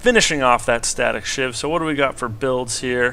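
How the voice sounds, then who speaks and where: Someone with a plain, everyday voice talks at a moderate pace. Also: man. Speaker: game caster. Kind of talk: gameplay commentary.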